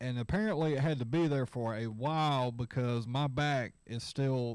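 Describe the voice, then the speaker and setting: On a very clean recording with a silent background, a man mumbles at a moderate pace with a medium pitch and ordinary pitch variation. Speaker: livestream host. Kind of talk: casual chat. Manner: mumbling.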